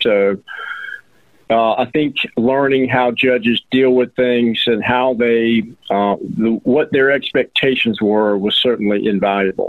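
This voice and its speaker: Over noticeable background noise, a man with an American accent speaks at a fairly slow pace and medium pitch, his intonation fairly even. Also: very even loudness. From Georgia, US (Atlanta suburbs). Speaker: personal injury attorney. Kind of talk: interview. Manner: halting, with many fillers.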